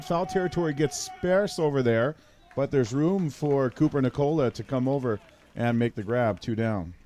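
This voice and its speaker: This is a man with an unremarkable speaking voice and a fairly high pitch. He talks at a moderate pace with lively intonation. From Newfoundland, Canada. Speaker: play-by-play sports commentator. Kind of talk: live sports commentary.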